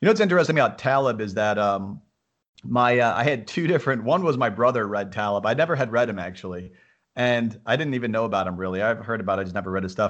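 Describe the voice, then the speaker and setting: Talking at a very fast pace, a man with an American accent uses a medium pitch and ordinary pitch variation. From upstate New York. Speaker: entrepreneur. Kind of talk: interview.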